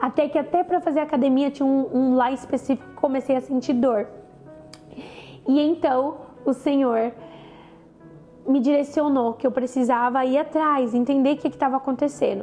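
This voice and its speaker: Over music in the background, the speech has long, frequent pauses, very even loudness and fairly even intonation. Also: woman, high pitch for a woman, moderate pace. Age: 20s. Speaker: cancer survivor. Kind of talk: personal testimony talk to camera.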